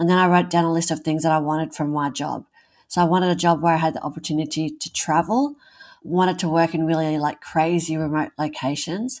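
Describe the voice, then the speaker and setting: This woman has an Australian accent and a fairly low pitch, keeping her intonation fairly even. The recording is very clean, with a silent background. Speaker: burns survivor, author, mother. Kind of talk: casual interview.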